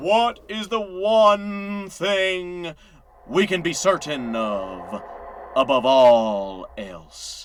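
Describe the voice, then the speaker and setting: Putting on a character voice, a man speaks at a very slow pace in a high pitch with very wide pitch swings. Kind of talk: hellfire sermon. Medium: read story. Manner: commanding, preaching.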